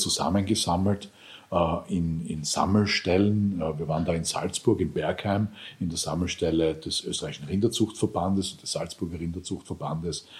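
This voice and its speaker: A man with a very deep, low pitch, a somewhat breathy sound and fairly even intonation. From Lower Austria. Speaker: farmer and EU politician. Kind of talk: interview.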